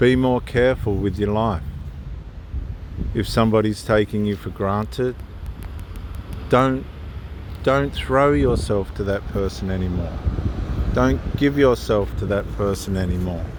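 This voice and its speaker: Fairly low in pitch, this man's voice makes very wide pitch swings at a fairly slow pace. Long, frequent pauses break it up, and background noise is noticeable. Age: 50s. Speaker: theologian giving life advice. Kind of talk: informal talk with Bible reflection. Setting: outdoors, on the move.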